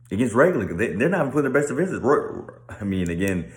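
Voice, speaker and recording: There is audible room echo as a man speaks at a very fast pace. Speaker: sports commentator. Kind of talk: casual monologue.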